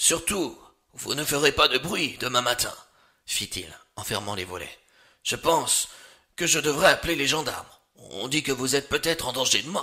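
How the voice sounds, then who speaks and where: A gruff, put-on character voice from a man, fairly high in pitch, moderate in pace, with lively intonation and long, frequent pauses. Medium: read story.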